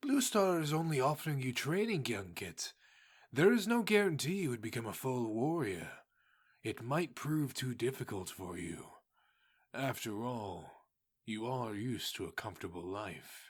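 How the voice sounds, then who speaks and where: On a very clean recording with a silent background, a man puts on a character voice at a medium pitch. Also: moderate pace. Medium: audio drama. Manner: firm, steady.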